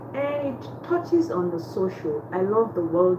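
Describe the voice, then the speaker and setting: A woman speaks at a very slow pace, with very wide pitch swings. Audible room echo and noticeable background noise surround her. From Nigeria. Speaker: livestream host, motivational speaker. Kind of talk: casual livestream talk with encouragement. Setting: livestream from her room. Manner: casual, chatty.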